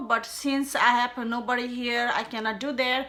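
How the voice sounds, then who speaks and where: A woman's high, bright, sharp voice with a non-native accent, at a fairly slow pace. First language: not English. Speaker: beauty tutorial creator. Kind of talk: casual tutorial talk to camera.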